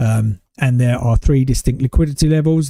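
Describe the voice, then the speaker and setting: A man with a British accent speaks at a medium pitch and moderate pace, somewhat breathy and dark, mellow in tone, with ordinary pitch variation and a dry, close sound with no echo. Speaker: day trader streamer. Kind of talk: live trading commentary. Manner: casual.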